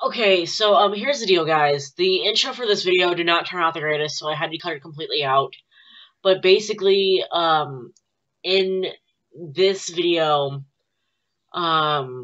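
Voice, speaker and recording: A woman's fairly low, a normal speaking voice at a moderate pace, ordinary pitch variation, and a quiet background. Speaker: vlogger. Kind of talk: casual vlog chat. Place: home room. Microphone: webcam.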